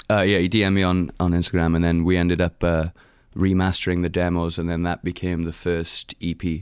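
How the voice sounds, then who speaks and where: Speaking at a fairly quick pace, a man uses a very deep, low voice with monotone, flat intonation. The recording is very clean, with a silent background. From Wales, Rhondda Valley. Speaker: singer-songwriter and model. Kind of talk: casual interview chat.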